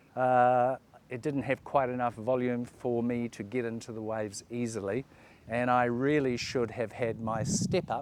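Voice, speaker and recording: Speaking with a New Zealand accent, a man keeps a moderate pace and a medium pitch. His intonation is fairly even. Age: 60s. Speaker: surfing vlogger. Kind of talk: casual talk to camera, gear review. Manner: halting, many fillers.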